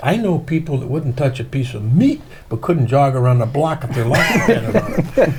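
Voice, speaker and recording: A man's voice at a moderate pace with ordinary pitch variation, over noticeable background noise. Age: 70s. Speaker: church historian and theologian. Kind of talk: interview.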